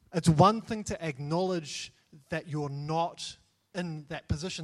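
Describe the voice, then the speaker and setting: A man with a plain, everyday voice speaks at a moderate pace and fairly high pitch. His pitch variation is ordinary, on a very clean recording with a silent background. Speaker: church group member.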